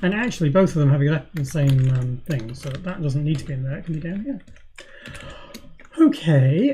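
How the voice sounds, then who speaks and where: Mumbling at a fairly quick pace with long, frequent pauses, a woman with a very deep, low voice shows ordinary pitch variation and big swings in loudness over noticeable background noise. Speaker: programmer streaming live coding. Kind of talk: live coding tutorial. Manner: hesitant, many fillers.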